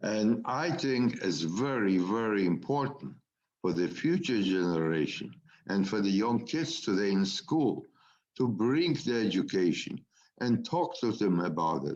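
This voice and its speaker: Speaking at a fairly slow pace, a man with a fairly low pitch keeps his loudness very even while his pitch swings very widely. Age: 80s+. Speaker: Holocaust survivor. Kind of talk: testimony.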